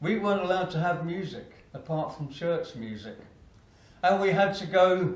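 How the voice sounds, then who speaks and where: A man talks fairly slowly in an Essex accent, with ordinary pitch variation. Room echo is audible. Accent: southern English (Essex). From Essex, England. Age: 60s. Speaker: motivational speaker. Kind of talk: keynote speech.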